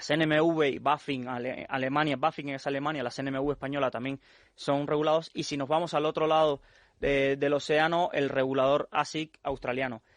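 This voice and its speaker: Speaking fairly quickly in a Cuban accent, a man with a fairly high pitch holds a monotone, flat intonation, in a dry, close sound with no echo and a quiet background. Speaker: financial expert. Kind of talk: radio interview.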